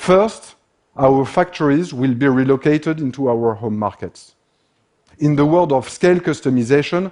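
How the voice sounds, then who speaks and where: A man's medium-pitched voice with a French accent, a dark, mellow tone, very wide pitch swings and a moderate pace. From France. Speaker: industrial systems expert. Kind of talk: conference talk.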